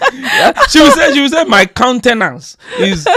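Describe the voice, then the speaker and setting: A man's raised, projected voice at a moderate pace amid noticeable background noise. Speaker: marriage podcast co-host. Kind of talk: casual chat. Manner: loud.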